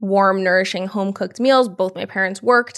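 In a New York accent, a woman talks at a fairly quick pace with a medium pitch. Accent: New York area American. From Yonkers, New York. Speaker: herbalist and entrepreneur. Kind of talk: casual interview chat. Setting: in person, green space in New York City.

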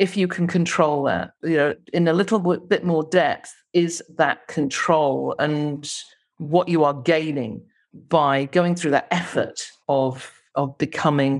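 A woman speaks at a very slow pace with a very deep, low pitch and fairly even intonation. Her loudness stays very even against a quiet background. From England. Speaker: vacation rental entrepreneur. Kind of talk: interview.

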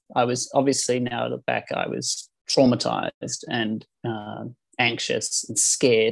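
Here is a man with a New Zealand accent. He talks at a fairly slow pace. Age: 40s. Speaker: life coach. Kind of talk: interview.

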